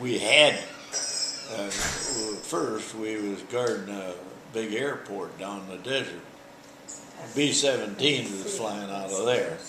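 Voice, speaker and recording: With ordinary pitch variation and a fairly low pitch, a man talks at a very slow pace as noticeable background noise runs behind him. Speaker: World War II veteran, former prisoner of war. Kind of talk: interview answer.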